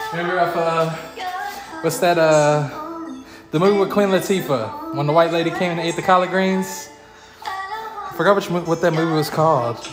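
Over music in the background, a man talks at a high pitch and moderate pace, with ordinary pitch variation and long, frequent pauses. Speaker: streamer. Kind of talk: casual stream chat. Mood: relaxed, cheerful. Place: garage.

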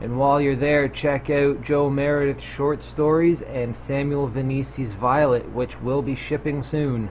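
A man with a fairly high pitch talks at a fairly slow pace with hardly any pauses and monotone, flat intonation, over light background noise. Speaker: video label promoter. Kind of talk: pitchman promo. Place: home room. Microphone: webcam.

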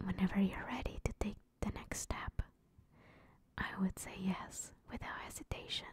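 Soft-spoken whispering at a moderate pace. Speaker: roleplay girlfriend voice actor. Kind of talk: ASMR roleplay monologue. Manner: soft tender whisper.

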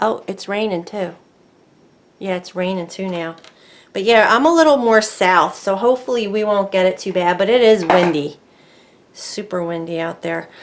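The voice belongs to a woman with lively intonation. She talks at a moderate pace. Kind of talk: tutorial.

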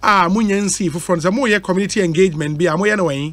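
Speaking at a very fast pace, a man with a Ghanaian accent uses a high-pitched voice. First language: Twi. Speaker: radio host. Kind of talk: call-in community concerns show.

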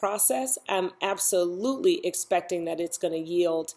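Here a woman is speaking. Her pace is fairly slow. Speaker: self-help vlogger. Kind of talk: casual vlog chat. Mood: reflective, warm. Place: home room. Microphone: webcam.

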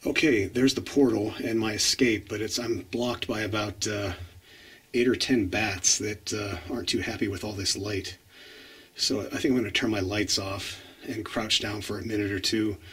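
The delivery keeps a moderate pace and fairly even intonation. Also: man, fairly low pitch for a man. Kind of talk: casual vlog commentary. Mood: calm, slightly wary of bats. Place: tunnel cave. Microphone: phone near.

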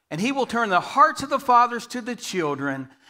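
A raised, projected voice with a bright, sharp tone and very wide pitch swings, at a fairly slow pace against a quiet background. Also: man. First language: English (speaking Spanish). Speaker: guest preacher. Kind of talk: sermon. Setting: church. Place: church.

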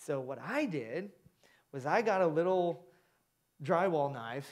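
A man talks at a fairly slow pace with an American accent. The background is quiet. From US Midwest, Indiana. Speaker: pastor. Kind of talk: sermon. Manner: animated. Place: church. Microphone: headset.

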